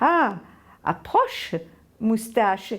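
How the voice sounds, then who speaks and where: In a put-on character voice, a woman speaks at a very slow pace with a fairly high pitch. The recording is very clean, with a silent background. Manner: jovial, welcoming.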